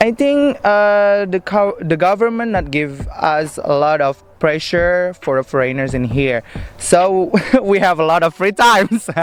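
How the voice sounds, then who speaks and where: Music plays in the background. The speaker talks at a fairly slow pace with lively intonation. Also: man, high pitch for a man. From Indonesia. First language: Indonesian. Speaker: foreign student. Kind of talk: street interview. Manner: hesitant, many fillers.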